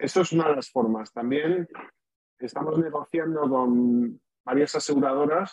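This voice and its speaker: A man talks in an ordinary speaking voice. It sits fairly high for a man and moves at a fairly slow pace. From Spain. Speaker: startup founder, venture capitalist. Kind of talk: pitch interview.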